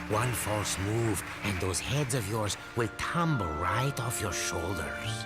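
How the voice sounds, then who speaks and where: Over loud music in the background, a cartoonish character voice speaks at a low pitch and a fairly slow pace. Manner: dry, sarcastic.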